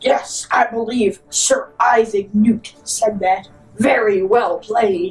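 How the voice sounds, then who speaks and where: With faint music in the background, a female-sounding voice does a put-on character voice at a fairly high pitch and a very slow pace. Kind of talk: parody documentary host. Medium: stage play. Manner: earnest, boastful.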